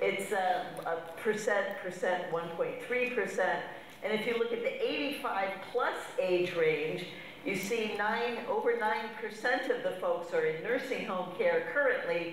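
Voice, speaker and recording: Audible room echo and light background noise surround a woman who speaks at a fairly slow pace with ordinary pitch variation. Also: very even loudness. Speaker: conference speaker. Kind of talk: lecture. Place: hall.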